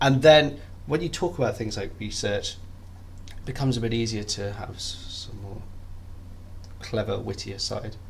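Speaking at a fairly slow pace with vocal fry, a man keeps fairly even intonation and leaves long, frequent pauses.

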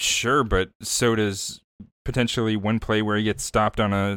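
In a very clean recording with a silent background, a man with a plain, everyday voice talks at a moderate pace and fairly low pitch, his loudness very even. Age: young. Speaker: podcast co-host, stats guy. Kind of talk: casual chat.

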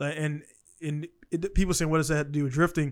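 With a plain, everyday voice, a man speaks at fairly high pitch with fairly even intonation. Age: 30s. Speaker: podcast host. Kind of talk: casual chat. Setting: video call.

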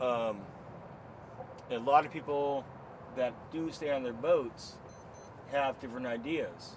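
Speaking at a medium pitch and a fairly slow pace, a man leaves long, frequent pauses amid noticeable background noise. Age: 40s. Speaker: liveaboard boat owner. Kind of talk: casual chat. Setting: on a boat.

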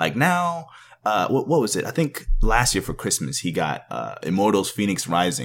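A man speaks at a fairly low pitch with vocal fry and very wide pitch swings. His pace is moderate, and the recording is very clean, with a silent background. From Canada, Jamaican parents; raised in Texas. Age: 20s. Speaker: podcast guest, parent gamer. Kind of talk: casual chat.

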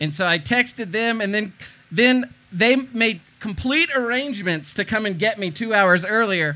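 With an American accent, a man projects a raised voice at high pitch, his bright, sharp tone carrying lively intonation at a moderate pace. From eastern North Carolina. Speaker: tiny house blogger. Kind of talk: casual interview.

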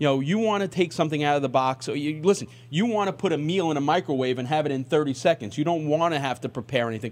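The man speaks at a fairly high pitch with ordinary pitch variation. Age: 50s. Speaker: radio sports talk host. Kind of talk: radio interview.

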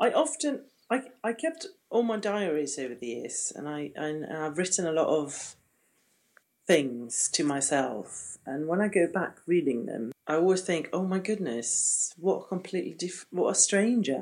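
Her pitch swings very widely as the woman speaks at a moderate pace. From Gotland, Sweden. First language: Swedish. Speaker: old friend, former drama student. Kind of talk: casual chat. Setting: remote call from Sweden.

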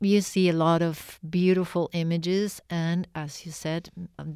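In a Spanish accent, a woman with a fairly low pitch and a dark, mellow tone speaks at a fairly slow pace in a monotone, flat intonation, on a very clean recording with a silent background and a dry, close sound with no echo. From Argentina. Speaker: artist and art professor. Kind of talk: interview. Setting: radio studio.

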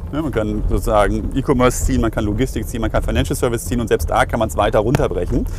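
Over noticeable background noise, a man rushes along at a very fast pace with hardly any pauses. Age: 40s. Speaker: payments company executive. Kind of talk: interview.

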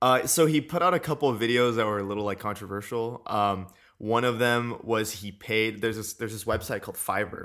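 Recorded very cleanly against a silent background, a man with an American accent uses an ordinary speaking voice, medium pitch and ordinary pitch variation at a fairly quick pace. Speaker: podcast co-host. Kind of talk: casual chat; history lecture. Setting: studio mic.

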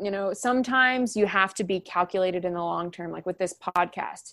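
A plain, everyday voice from a woman with an American accent, medium in pitch and at a fairly quick pace, on a very clean recording with a silent background. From Oklahoma, US (Edmond). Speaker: orchestra education manager and bassoonist. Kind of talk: interview.

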